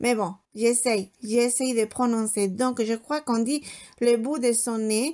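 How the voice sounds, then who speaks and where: Very slow and fairly even in intonation, a woman speaks in a dark, mellow tone at a fairly high pitch. The recording is very clean, with a silent background. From Spain. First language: Spanish (speaking French). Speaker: homemaker vlogger. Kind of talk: casual vlog chat. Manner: hesitant, many fillers.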